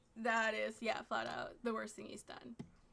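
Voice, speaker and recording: Bright and sharp in tone, a woman talks at a fairly quick pace in an animated way. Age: 20s. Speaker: streamer reacting to online drama. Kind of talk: casual commentary.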